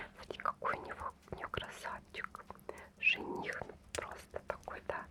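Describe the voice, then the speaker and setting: Whispering at a very slow pace comes through over noticeable background noise. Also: woman. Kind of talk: ASMR magazine flip-through. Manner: close whispered.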